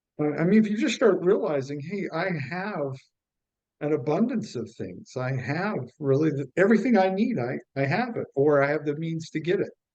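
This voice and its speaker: A man with an American accent uses a normal speaking voice at a fairly high pitch, with lively intonation and a moderate pace. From United States. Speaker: stand-up comedian. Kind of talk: interview.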